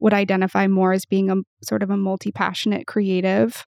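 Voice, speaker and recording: An American accent in a normal speaking voice, dry and close with no echo, on a very clean recording with a silent background. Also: woman. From US Pacific Northwest. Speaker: creator partnerships manager, former professional musician. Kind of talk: interview conversation.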